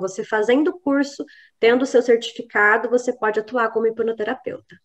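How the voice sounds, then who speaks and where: Fairly even intonation marks this woman's speech at a moderate pace. Her pitch is fairly high. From Brazil, São José dos Campos, São Paulo state. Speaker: psychologist and hypnotherapist. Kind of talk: interview. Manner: halting, with fillers and repetitions.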